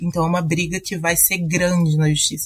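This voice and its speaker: At a moderate pace, a woman speaks with a Brazilian accent in a somewhat breathy voice. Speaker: tax and legal consultant. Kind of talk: panel discussion.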